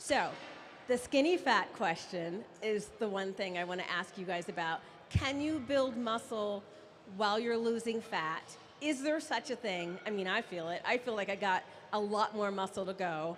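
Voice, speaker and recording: With an ordinary speaking voice, a woman talks at a moderate pace and medium pitch with lively intonation. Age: 50s. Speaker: audience member asking question. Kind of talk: audience question.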